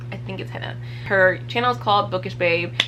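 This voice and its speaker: A woman's animated voice at a fairly quick pace, with audible room echo. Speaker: book reviewer. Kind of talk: casual vlog talk.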